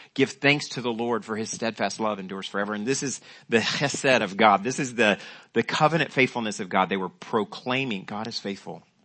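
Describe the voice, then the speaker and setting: With a plain, everyday voice, a man speaks at a fairly quick pace, at medium pitch and with ordinary pitch variation. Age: 50s. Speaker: pastor. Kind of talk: sermon.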